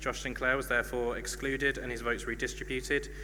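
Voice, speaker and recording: Audible room echo marks the recording. A man is talking very fast. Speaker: student union officer announcing results. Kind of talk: announcing election results.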